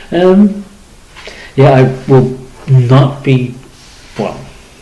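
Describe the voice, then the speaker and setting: A man's voice is heard with audible room echo and noticeable background noise. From Liverpool, England. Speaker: community campaigner and radio presenter. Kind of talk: radio monologue. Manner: halting, many fillers.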